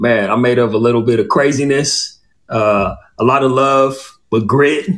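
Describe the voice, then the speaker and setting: In an American accent and an ordinary speaking voice, a man talks at a fairly slow pace and a medium pitch, with ordinary pitch variation. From Southern California (Inland Empire). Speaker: former athlete, author and podcast host. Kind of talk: interview on a podcast.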